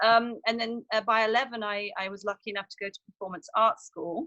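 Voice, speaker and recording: Speaking in a southern English accent, a woman talks at a fairly quick pace. Her pitch is fairly high and her tone bright and sharp. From southern England, near Brighton. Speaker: actress. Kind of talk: casual interview chat. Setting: outdoors.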